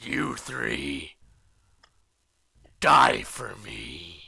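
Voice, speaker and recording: This put-on character voice sits at a very deep, low pitch and sounds guttural and raspy. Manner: menacing.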